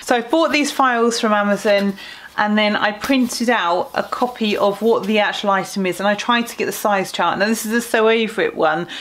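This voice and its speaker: A woman talks at a fairly high pitch with ordinary pitch variation. Noticeable background noise runs behind her. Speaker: sewing vlogger. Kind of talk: casual talk to camera.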